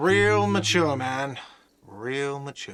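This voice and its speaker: A man puts on a whiny character voice. His pitch sits in the medium range. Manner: shouting.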